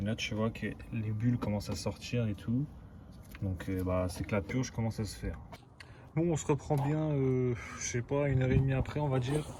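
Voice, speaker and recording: A man speaks at a fairly quick pace with a medium pitch and ordinary pitch variation. His long, frequent pauses come through over noticeable background noise. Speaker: car repair YouTuber. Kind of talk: casual vlog tutorial. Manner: casual slangy. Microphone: poor sound quality.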